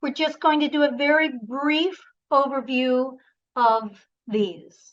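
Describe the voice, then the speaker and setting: At a very slow pace, a woman speaks in a high pitch with ordinary pitch variation. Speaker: voice and presentation coach. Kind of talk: online workshop.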